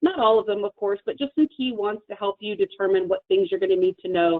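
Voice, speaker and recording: With lively intonation, a woman speaks at a fairly high pitch. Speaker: software partner manager presenting to a partner. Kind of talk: sales training presentation on a video call. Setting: video call with screen share. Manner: fast.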